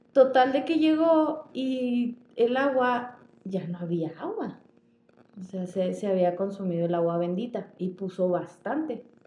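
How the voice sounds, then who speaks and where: At a fairly slow pace, a woman with a medium pitch speaks in a dark, mellow tone, her pitch swinging very widely. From northern Mexico, Chihuahua. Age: 20s. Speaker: podcast co-host. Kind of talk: casual storytelling chat.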